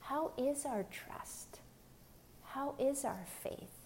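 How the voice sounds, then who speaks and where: At a very slow pace, a woman speaks with an American accent. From Pennsylvania. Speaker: lay preacher. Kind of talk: gospel reflection.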